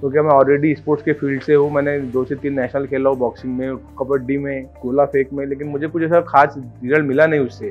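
A man's fairly high, monotone voice with flat intonation, hardly any pauses, and faint music in the background. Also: moderate pace. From Maharashtra, India. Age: 20s. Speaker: bariatric surgery patient. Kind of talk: patient testimonial to camera. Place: office. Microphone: lapel.

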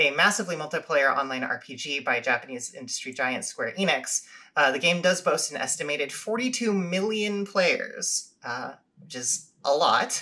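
In an unremarkable speaking voice, a woman with a fairly low pitch talks at a moderate pace with lively intonation. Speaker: podcast host. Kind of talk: podcast intro, semi-scripted presentation. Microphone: studio mic.

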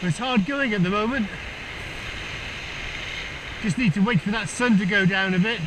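Over clear background noise, a man talks at a moderate pace in a high pitch with ordinary pitch variation.

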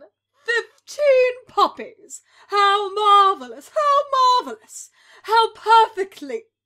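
A female-sounding voice puts on a character at an extremely high pitch, fairly slow, with long, frequent pauses. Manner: theatrical, gleeful.

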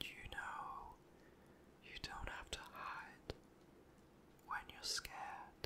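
Someone whispers, soft-spoken and very slow, over noticeable background noise. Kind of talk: whispered comforting roleplay. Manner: soft tender whisper, comforting.

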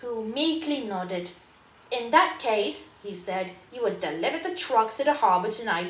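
This is an unforced reading voice. The intonation is lively.

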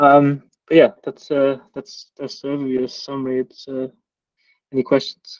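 In a monotone, flat intonation, a man speaks at a moderate pace against a quiet background. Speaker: growth team lead. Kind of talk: presentation in work meeting. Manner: halting, repeats words. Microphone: video call.

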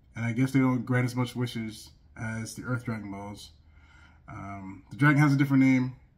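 Against a quiet background, the man keeps a moderate pace and fairly even intonation. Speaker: anime reaction reviewer. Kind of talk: casual commentary. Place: home room.

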